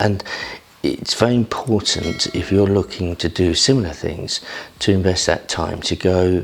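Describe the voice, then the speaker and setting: Speaking quietly with an English accent and ordinary pitch variation, the voice sits over noticeable background noise. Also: man. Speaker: property investor. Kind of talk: vlog talk to camera. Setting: at home early morning. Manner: quiet, low voice.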